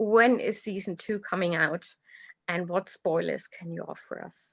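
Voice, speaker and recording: A woman with a German accent and ordinary pitch variation. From Germany. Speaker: fan chat host. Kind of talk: live video chat interview.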